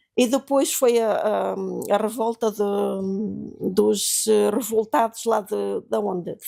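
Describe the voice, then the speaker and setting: Music plays in the background. Over it, a woman speaks at a very slow pace. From Portugal, Beira Interior (Malpique, near Belmonte). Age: 80s+. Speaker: seamstress, interviewee recalling 1974 revolution. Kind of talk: oral history interview. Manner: halting, many hesitations and repetitions.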